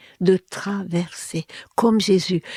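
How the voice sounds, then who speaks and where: A speaker with a Hungarian accent is heard in a dry, close sound with no echo. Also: woman. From Hungary. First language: Hungarian (speaking French). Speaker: therapist and former linguist. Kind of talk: interview. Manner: halting, with many fillers and repetitions.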